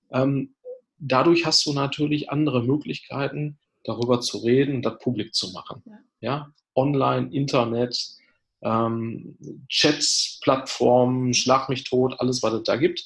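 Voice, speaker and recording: A somewhat breathy man's voice of medium pitch, at a fairly slow pace, with fairly even intonation and big swings in loudness. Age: 40s. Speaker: addiction therapist and coach. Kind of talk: casual interview.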